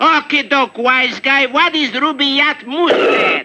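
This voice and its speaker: In a cartoonish character voice, a man speaks at an extremely high pitch and a fairly slow pace. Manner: blustering, officious.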